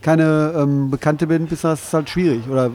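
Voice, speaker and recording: Speaking at a moderate pace, a man has a fairly high voice. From Ruhr area, Bochum. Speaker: livestream interviewer. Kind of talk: casual interview. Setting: live stream.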